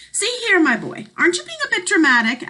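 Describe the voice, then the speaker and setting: A woman uses a squeaky, put-on character voice at an extremely high pitch. She talks at a fairly quick pace with very wide pitch swings. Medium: read story. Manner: pompous.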